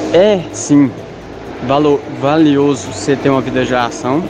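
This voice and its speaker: Noticeable background noise runs under this recording. A man speaks at a medium pitch with ordinary pitch variation. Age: 20s. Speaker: photographer and parish volunteer. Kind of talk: radio interview.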